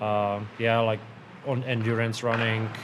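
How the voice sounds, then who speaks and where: A man speaks with a Czech accent. Audible room echo and noticeable background noise accompany him. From Czech Republic. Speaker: professional hockey goalie. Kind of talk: interview. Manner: halting, many fillers and repeats.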